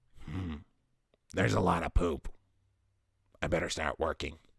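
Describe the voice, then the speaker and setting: Putting on a raspy character voice, a man speaks at a moderate pace with a very deep, low pitch. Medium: read story. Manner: hesitant, drawn-out "uh"s.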